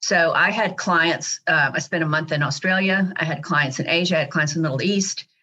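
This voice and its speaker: A woman with an American accent has a normal speaking voice, fairly low in pitch, talking at a fairly quick pace with hardly any pauses and fairly even intonation. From Dallas, Texas. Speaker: company CEO. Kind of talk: interview.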